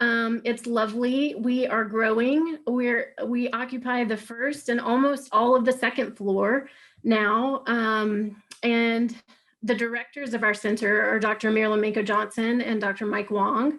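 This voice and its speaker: Against a quiet background, a woman with a fairly high pitch speaks at a fairly slow pace, with very even loudness and fairly even intonation. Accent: Southern US. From US South, Alabama. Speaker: clinical research staff. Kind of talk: webinar presentation. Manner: frequent filler words.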